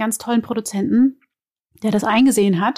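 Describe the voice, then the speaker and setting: A woman speaks with a dark, mellow tone. Her pitch is fairly high and her intonation fairly even. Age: 30s. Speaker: actress and podcast co-host. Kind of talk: casual chat.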